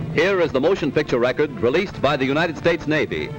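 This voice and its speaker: Music in the background accompanies a man whose pitch variation is ordinary. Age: 1942 recording. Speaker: newsreel commentator. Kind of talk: 1940s newsreel narration. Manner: dramatic, declamatory.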